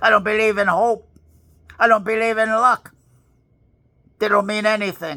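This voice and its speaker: In a New York accent, a man speaks in a raised, projected voice with a bright, sharp tone. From New York City (Bronx). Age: 80s+. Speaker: motivational speaker. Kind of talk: motivational monologue. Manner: forceful.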